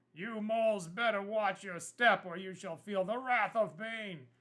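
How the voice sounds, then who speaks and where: A man puts on a character voice at a high pitch. He speaks at a moderate pace. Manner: threatening.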